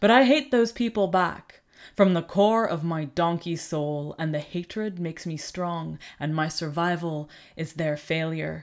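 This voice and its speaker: A normal speaking voice at a fairly slow pace with ordinary pitch variation, on a very clean recording with a silent background. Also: woman, fairly low pitch for a woman. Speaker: poetry reader. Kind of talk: poem reading aloud. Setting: home recording setup.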